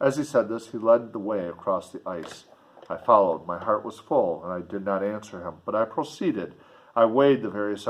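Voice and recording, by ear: The clip features reading aloud. It is done in a natural voice.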